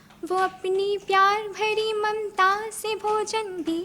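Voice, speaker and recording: Noticeable background noise behind a woman's raised, projected voice. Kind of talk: poetry reading.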